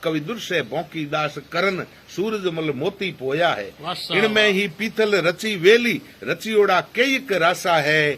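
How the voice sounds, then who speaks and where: The voice, in a Rajasthani accent, comes with noticeable background noise. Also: man, high pitch for a man, ordinary pitch variation. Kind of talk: poetry reading.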